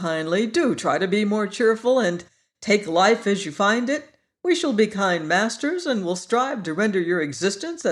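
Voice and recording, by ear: Someone reads aloud in a natural voice, the intonation lively. The background is quiet.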